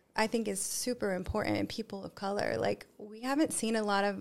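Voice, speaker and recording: A woman at a medium pitch with vocal fry, a fairly quick pace, hardly any pauses and fairly even intonation. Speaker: cacao ceremony guide and yoga teacher. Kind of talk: casual podcast interview.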